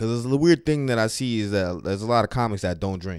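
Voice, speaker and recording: A man talks at a very fast pace in an animated tone with ordinary pitch variation, on a very clean recording with a silent background. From New York City, the Bronx. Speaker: stand-up comedian. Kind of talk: casual podcast monologue. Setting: home recording setup. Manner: animated, repetitive.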